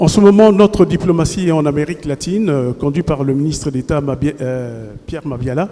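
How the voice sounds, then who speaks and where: This man has a fairly high voice and ordinary pitch variation. He talks at a fairly quick pace with hardly any pauses. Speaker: journalist. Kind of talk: press question. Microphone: intermittent sound, mic problems.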